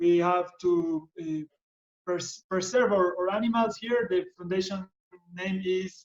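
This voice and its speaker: In a Spanish accent, a man with a high pitch talks at a fairly slow pace with fairly even intonation. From Ecuador. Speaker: biologist and conservationist. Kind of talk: presentation. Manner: halting.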